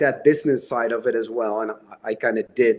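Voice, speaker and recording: Speaking at a moderate pace with a Dutch accent, a man shows ordinary pitch variation. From Netherlands. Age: 40s. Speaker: horror novelist. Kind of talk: interview.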